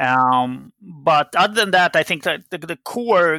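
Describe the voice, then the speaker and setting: A man talks at a very slow pace with a Swedish accent. The sound is dry and close, with no echo. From Sweden. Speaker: game company CEO. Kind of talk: interview. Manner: hesitant with fillers.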